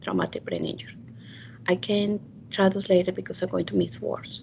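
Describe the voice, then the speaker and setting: The speaker is a woman with a Spanish accent. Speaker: committee member. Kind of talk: virtual public meeting. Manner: halting.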